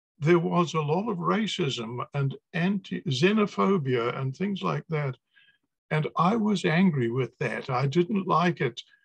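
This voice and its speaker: Speaking with a New Zealand accent at a fairly slow pace, a man uses a fairly high pitch and lively intonation in a dry, close sound with no echo. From New Zealand, Napier. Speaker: poet and academic. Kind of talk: video call interview.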